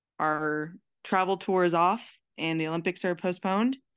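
A woman's fairly low voice in a Californian accent at a fairly slow pace, over a quiet background. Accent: Californian American. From California, Merced. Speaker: pro softball player. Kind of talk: interview testimony. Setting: remote call.

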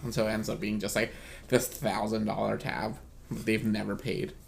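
A man talks with vocal fry at a fairly low pitch. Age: 20s. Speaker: podcast host. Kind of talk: casual chat.

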